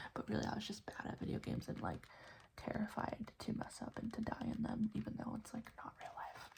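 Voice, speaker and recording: A woman whispering at a fairly quick pace. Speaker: ASMR creator. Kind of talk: ASMR trigger assortment. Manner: whispered, soft-spoken.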